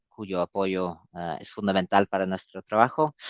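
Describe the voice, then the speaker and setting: The voice carries a non-native accent over a quiet background. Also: man, dry, close sound with no echo. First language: not Spanish (speaking Spanish). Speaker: public health organisation representative. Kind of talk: webinar presentation. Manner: halting, many fillers.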